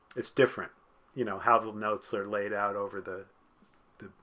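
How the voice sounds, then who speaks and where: His tone is bright and sharp, fairly low for a man. He delivers everything in a flat monotone. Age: 60s. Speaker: music professor, department chair. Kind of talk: casual chat.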